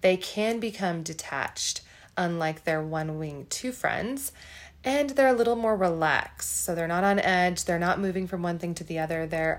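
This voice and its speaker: A woman speaks at a moderate pace in an unremarkable speaking voice. Her pitch is fairly low, with ordinary pitch variation. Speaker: podcast co-host. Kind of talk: educational podcast explanation.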